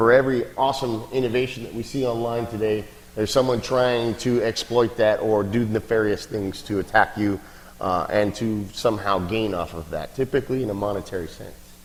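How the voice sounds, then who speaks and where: A man's medium-pitched voice at a fairly quick pace, with fairly even intonation and noticeable background noise. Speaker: security company speaker at a meetup. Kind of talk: presentation talk. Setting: meetup with audience. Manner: fast; hesitant fillers.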